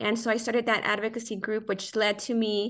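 An unremarkable speaking voice from a woman, fairly high in pitch for a woman, at a fairly quick pace against a quiet background. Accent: American. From Southeast Los Angeles, California. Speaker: city councilwoman and public affairs director. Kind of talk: interview.

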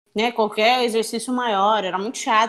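Here a woman is talking. Her delivery is fairly quick. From Brazil, São Luís do Maranhão. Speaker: professional footballer. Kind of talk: interview.

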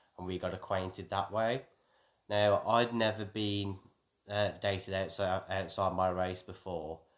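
In a West Midlands accent, a man speaks with monotone, flat intonation. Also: fairly low pitch for a man. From Wolverhampton, England. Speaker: army veteran, host's husband. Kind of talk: casual chat.

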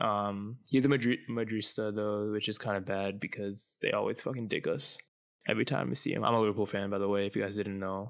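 At a fairly quick pace, a man speaks in an ordinary speaking voice at a medium pitch, recorded very cleanly over a silent background. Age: 20s. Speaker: podcast host. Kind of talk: casual solo podcast monologue.

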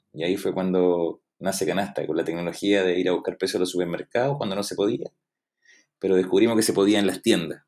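Against a silent background in a very clean recording, a man rattles off his words very fast. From Chile, Valdivia. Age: 30s. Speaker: product owner and UX designer. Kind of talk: interview.

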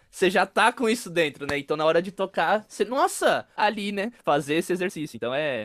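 A man's high-pitched, animated voice with lively intonation, fairly quick and with hardly any pauses, in a dry, close sound with no echo. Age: 20s. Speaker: podcast host, percussionist. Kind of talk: interview.

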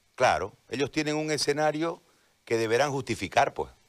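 This man talks at a fairly quick pace, and his voice has vocal fry. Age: 40s. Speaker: journalist turned political candidate. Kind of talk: radio interview. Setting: radio simulcast, remote connection.

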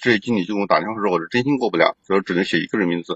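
A man with a fairly low-pitched voice. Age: 30s. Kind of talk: phone-in advice call. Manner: halting.

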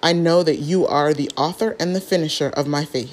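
At a fairly low pitch, a woman with an unremarkable speaking voice keeps a moderate pace. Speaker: prayer devotional host. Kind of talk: fervent prayer; devotional reading and teaching. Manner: earnest, fervent; warm, encouraging.

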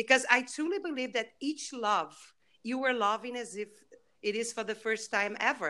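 With a Brazilian accent, a woman speaks at a moderate pace in a fairly high pitch and a bright, sharp tone. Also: lively intonation. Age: 50s. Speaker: author. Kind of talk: interview. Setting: video call.

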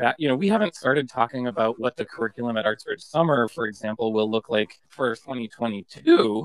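A man with an American accent talks at a fairly quick pace with hardly any pauses, in an unremarkable speaking voice of medium pitch and ordinary pitch variation. The sound is dry and close, with no echo. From Massachusetts. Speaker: arts education vice president, former admissions officer. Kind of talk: interview conversation.

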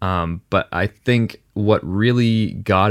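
Here is a man with a normal speaking voice, pitched fairly low. The recording is very clean with a silent background, and the sound is dry and close with no echo. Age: 20s. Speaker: podcast host. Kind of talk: casual chat.

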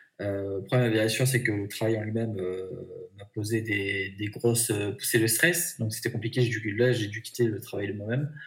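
This man's voice sits at a medium pitch and is somewhat breathy. His intonation stays fairly even. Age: 30s. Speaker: job seeker. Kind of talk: interview.

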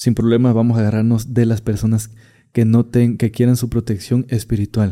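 Recorded very cleanly against a silent background, a man with a dark, mellow tone talks at a medium pitch and moderate pace. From Catemaco, Veracruz, Mexico. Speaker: witch doctor. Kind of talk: interview storytelling.

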